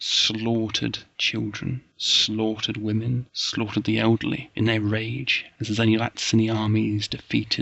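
Simply a natural reading voice

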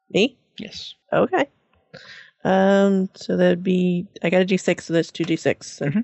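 This woman has a normal speaking voice with a medium pitch. Her intonation is fairly even and her pace moderate. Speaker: tabletop role-playing game player. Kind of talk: tabletop role-playing game session, casual chat.

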